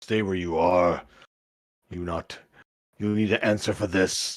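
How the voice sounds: Putting on a character voice, a man booms at a very deep, low pitch and a fairly slow pace.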